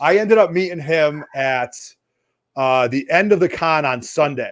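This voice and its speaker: A fairly slow, animated man's voice, fairly high in pitch, with an East Coast accent. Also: ordinary pitch variation, very clean recording, silent background. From US East Coast. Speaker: comics show host. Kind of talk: casual chat. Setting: home basement livestream.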